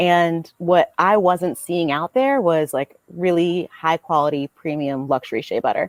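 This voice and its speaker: A woman with an American accent speaks at a fairly slow pace, with hardly any pauses, in a plain, everyday voice. Her pitch is fairly low with ordinary variation, and the very clean recording has a dry, close sound with no echo and a silent background. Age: 30s. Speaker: business owner. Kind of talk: podcast interview. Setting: podcast.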